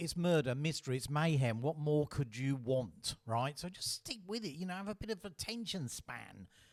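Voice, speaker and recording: A man with an Australian accent, fairly high in pitch with very wide pitch swings, at a moderate pace. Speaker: author reading own novel. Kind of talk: reading aloud with commentary.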